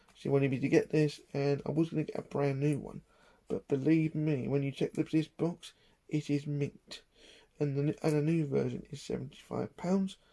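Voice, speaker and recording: The speaker talks quietly at a moderate pace. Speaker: collector vlogger. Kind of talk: casual vlog. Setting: at home in own room. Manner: talking quietly.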